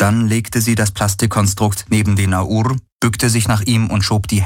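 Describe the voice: The delivery is plain reading aloud. Intonation stays fairly even.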